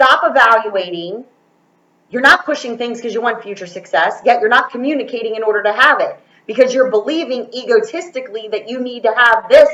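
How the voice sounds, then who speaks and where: At a fairly quick pace, a woman speaks in a high pitch with a bright, sharp tone. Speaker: tarot reader. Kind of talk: intuitive tarot reading. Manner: stutters when talking fast; fast.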